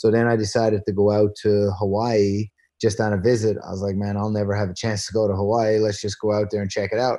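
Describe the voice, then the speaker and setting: With a Newfoundland accent and a dark, mellow tone, the speaker rushes along at a very fast pace with hardly any pauses over a quiet background. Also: man, fairly low pitch for a man. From Newfoundland, Canada. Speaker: former pro basketball player. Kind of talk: interview. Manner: animated.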